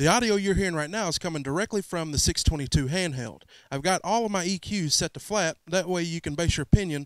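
Recorded dry with no echo against a quiet background, a man talks at a fairly quick pace with ordinary pitch variation. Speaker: mobile DJ reviewing gear. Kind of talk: gear review vlog. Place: garage. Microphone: handheld.

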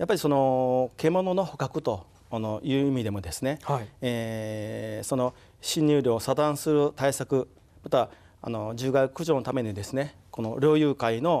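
Ordinary pitch variation and a dark, mellow tone come through at a fairly slow pace. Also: man. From Mie, Japan; Japan. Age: 60s. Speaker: town mayor. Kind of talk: studio interview. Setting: studio. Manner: halting. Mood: earnest, formal polite speech. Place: studio. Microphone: lapel.

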